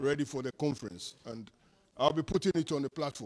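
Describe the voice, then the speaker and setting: Recorded with a dry, close sound and no echo, a man talks at a moderate pace and fairly high pitch with ordinary pitch variation. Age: 60s. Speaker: community organizer. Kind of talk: public speech. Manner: impassioned.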